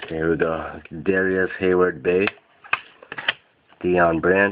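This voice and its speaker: A man speaks in a monotone with flat intonation and a very deep, low pitch. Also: fairly slow pace. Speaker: sports card collector. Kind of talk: box break unboxing commentary.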